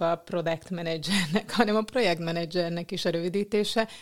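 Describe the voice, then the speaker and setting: On a very clean recording with a silent background, a woman with a plain, everyday voice speaks at a medium pitch with ordinary pitch variation. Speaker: podcast host. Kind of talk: interview. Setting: office.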